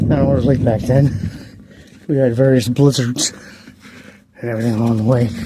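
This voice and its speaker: Over noticeable background noise, a man with an American accent talks very fast at a medium pitch in a monotone, flat way, with long, frequent pauses. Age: 60s. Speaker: vlogger. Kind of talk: casual walking vlog. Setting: outdoors.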